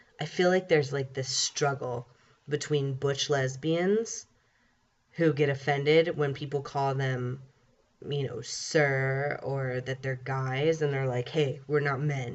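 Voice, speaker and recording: A man's somewhat breathy, fairly high voice at a very slow pace, with fairly even intonation. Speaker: vlogger. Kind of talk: casual chat. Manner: casual, filler-heavy.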